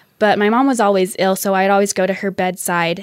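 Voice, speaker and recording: Heard on a very clean recording with a silent background, a woman speaks in an unremarkable speaking voice at medium pitch with fairly even intonation. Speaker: radio producer, panel respondent. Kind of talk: panel discussion response.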